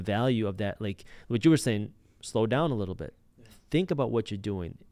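A man's medium-pitched voice at a fairly quick pace on a very clean recording with a silent background. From United States. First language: Punjabi. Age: early 30s. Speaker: YouTuber and entrepreneur. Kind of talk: casual interview. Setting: studio.

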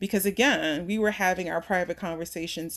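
A woman with an unremarkable speaking voice and an American accent speaks at a fairly quick pace, her pitch fairly low and her intonation fairly even, against a quiet background. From US Northeast, Philadelphia. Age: 40s. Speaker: opera singer. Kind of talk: interview conversation.

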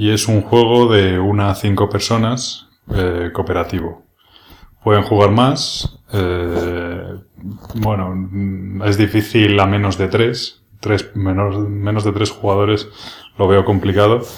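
This man's voice is somewhat breathy and fairly low in pitch. He talks at a very slow pace with a monotone, flat intonation. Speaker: board game podcaster. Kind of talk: solo podcast monologue. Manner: hesitant, many fillers. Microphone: new microphone, rubbing on clothes in parts.

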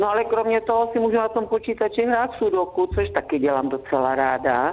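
A woman talks at a moderate pace. Her medium-pitched voice moves through very wide pitch swings. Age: 70s. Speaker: grandmother, radio guest. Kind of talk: phone interview. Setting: phone call.

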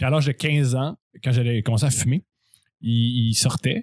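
Somewhat breathy, a man speaks at medium pitch with ordinary pitch variation. The pace is moderate and the sound is dry and close with no echo. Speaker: comedy writer. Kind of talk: casual chat.

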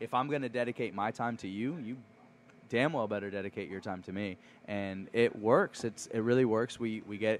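This man has a plain, everyday voice at medium pitch, with ordinary pitch variation and a moderate pace. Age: 30s. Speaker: chef and restaurant owner. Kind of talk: casual chat. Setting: restaurant.

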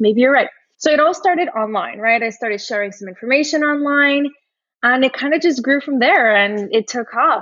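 Her voice is high in pitch. She talks at a fairly quick pace. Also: lively intonation. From Brazil. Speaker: personal finance coach. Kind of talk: interview.

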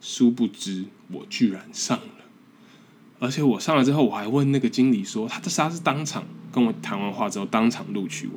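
Speaking at a moderate pace with a strong Taiwanese accent, a man uses lively intonation at a medium pitch, with big swings in loudness. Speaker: podcast host, graduate student abroad. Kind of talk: casual solo monologue. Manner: halting, with repetitions.

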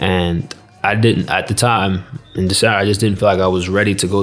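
Music plays in the background and a room echo is audible as a man with an American accent speaks in a very deep, low pitch with fairly even intonation. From United States. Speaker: football player. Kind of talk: casual chat. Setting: stadium. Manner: halting.

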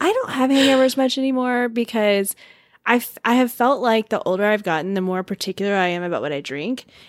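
A woman's fairly high voice with lively intonation at a fairly quick pace, in a very clean recording over a silent background. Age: 40s. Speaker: podcast host and social media agency owner. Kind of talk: casual chat. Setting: home studio. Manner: animated.

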